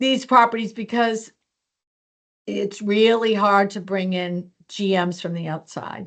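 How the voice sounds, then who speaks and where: A woman speaks at a fairly slow pace in a plain, everyday voice of medium pitch. Her loudness swings widely, while her intonation stays fairly even. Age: 60s. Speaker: hotel company HR executive. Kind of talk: interview. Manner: casual, conversational.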